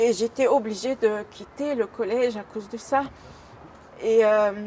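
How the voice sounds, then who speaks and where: Her pace is fairly slow and her intonation fairly even. The woman's pitch is fairly high. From Algeria. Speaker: former elderly care worker. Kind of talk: personal testimony. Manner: halting, many hesitations.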